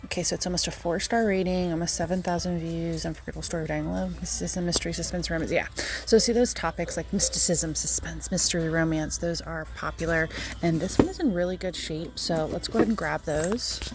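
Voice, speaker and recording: Very rapid female speech over clearly audible background noise. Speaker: reseller vlogger. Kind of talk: casual vlog narration. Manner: fast.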